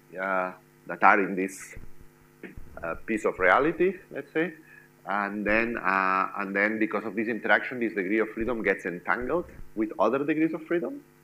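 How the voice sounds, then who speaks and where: Fairly low in pitch, a man with an ordinary speaking voice speaks at a moderate pace. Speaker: lecturer. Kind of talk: lecture. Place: classroom.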